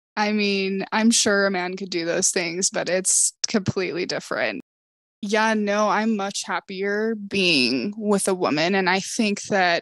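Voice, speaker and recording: A woman talks at a fairly slow pace in a plain, everyday voice. Her medium pitch holds a fairly even intonation. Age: 20s. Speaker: optician. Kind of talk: casual chat.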